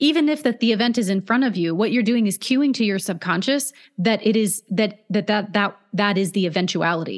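In an American accent, a woman speaks at medium pitch with ordinary pitch variation, very even loudness and hardly any pauses against a quiet background. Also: fairly quick pace. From US West Coast (Oregon/California). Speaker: hypnotherapist. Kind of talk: interview conversation. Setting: remote call.

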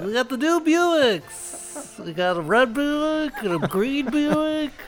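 Clear background noise runs under a put-on character voice. It is high-pitched and fairly slow. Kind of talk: pitchy, sales-announcer tone.

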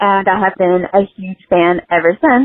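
A woman with an ordinary speaking voice speaks at a fairly slow pace and a medium pitch. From US South (West Virginia). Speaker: fan calling in. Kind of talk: recorded voice message. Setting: phone call.

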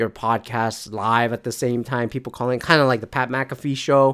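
On a very clean recording with a silent background, a man speaks at a medium pitch and a moderate pace. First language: not English. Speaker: solo podcast host. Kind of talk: casual solo monologue. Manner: meandering, many fillers and restarts.

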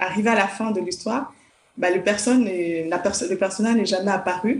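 Her pitch is medium and varies in an ordinary way as the woman talks. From Congo (village). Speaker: children's author and psychologist. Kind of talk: interview. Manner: hesitant, with fillers.

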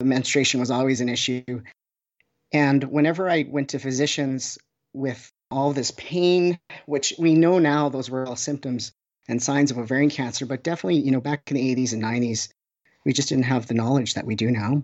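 A man with a Canadian accent and a plain, everyday voice, fairly quick in pace, with fairly even intonation. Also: medium pitch for a man. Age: 40s. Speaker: oncology social worker. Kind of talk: interview.

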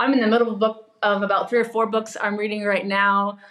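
Through noticeable background noise, a woman talks at a medium pitch. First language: English (native; also speaks Spanish and Portuguese). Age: 30s. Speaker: pastor. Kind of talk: podcast interview.

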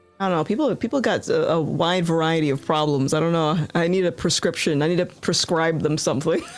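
With music in the background, a woman in an American accent talks at a fairly quick pace and fairly low pitch, with ordinary pitch variation, very even loudness and hardly any pauses. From US Northeast, Rhode Island. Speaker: YouTuber, political commentator. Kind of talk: casual interview. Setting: live stream video call.

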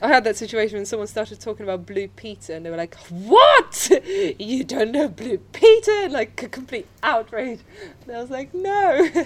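At a moderate pace, a woman speaks in a fairly high pitch with very wide swings, over noticeable background noise. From Poland. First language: Polish. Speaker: student doing PR work. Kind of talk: casual interview. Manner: relaxed.

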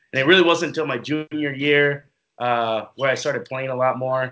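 Speaking at a fairly quick pace, a man uses a normal speaking voice of medium pitch with fairly even intonation. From Minnesota (Minneapolis). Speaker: professional football player. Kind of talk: interview.

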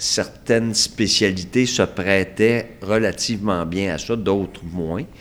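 A man speaks at a very slow pace, his fairly low pitch held in a fairly even intonation. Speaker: retired surgeon, hospital administrator. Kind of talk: casual interview.

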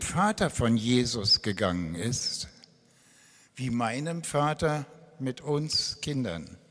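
A man speaks with very wide pitch swings. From Berlin (East). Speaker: retired pastor. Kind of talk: testimony. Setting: church stage.

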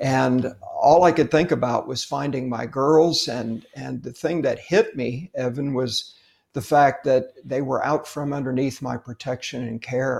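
A fairly high-pitched, somewhat breathy male voice with ordinary pitch variation, at a fairly slow pace with hardly any pauses. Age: 60s. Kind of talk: casual faith interview.

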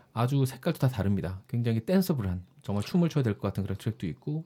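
A somewhat breathy, dark, mellow tone with lively intonation at a fairly quick pace. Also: man. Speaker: podcast producer and novelist. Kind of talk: casual chat.

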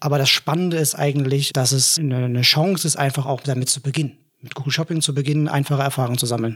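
The speech comes at a very fast pace, somewhat breathy and with fairly even intonation. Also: man, fairly high pitch for a man. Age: 30s. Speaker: head of product at marketing agency. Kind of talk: casual business chat. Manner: hesitant with frequent filler sounds.

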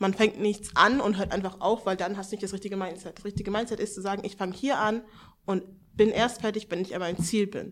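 At a very fast pace, a woman with a medium pitch speaks in monotone, flat intonation. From Hannover, northern Germany. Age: 20s. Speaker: seminar participant. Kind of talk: casual chat. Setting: seminar room with live audience.

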